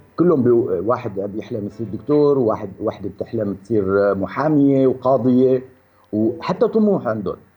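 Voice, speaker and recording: With lively intonation and a dark, mellow tone, a man speaks at a moderate pace in a medium-pitched voice. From Syria. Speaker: film director. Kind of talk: radio interview. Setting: radio studio.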